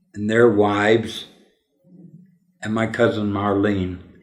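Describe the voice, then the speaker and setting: With audible room echo, a man with an American accent talks very slowly at a fairly low pitch. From Denver, Colorado, US. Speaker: interviewee recounting family history. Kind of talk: oral history interview.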